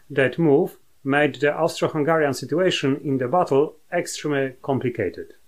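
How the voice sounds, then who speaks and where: Against a quiet background, the speaker talks at a moderate pace with a Polish accent and fairly even intonation. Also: man, fairly high pitch for a man. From Poland. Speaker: university professor, military historian. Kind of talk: lecture. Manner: formal, hesitant with filler words. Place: home room.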